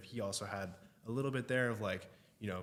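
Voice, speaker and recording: A man with a Texan accent, at a very fast pace. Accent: Texan American English. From Austin, Texas. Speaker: realtor and content creator. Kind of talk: podcast interview. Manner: casual, slightly halting.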